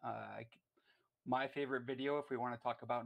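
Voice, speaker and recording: A man talks with a strong Canadian accent. His intonation stays monotone and flat. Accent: thick Canadian. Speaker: caller. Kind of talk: call-in talk show. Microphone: worried mic is bad.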